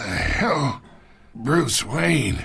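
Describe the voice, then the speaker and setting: A man puts on a raspy character voice at a medium pitch, swinging his pitch very widely. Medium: video game. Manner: gruff, condescending.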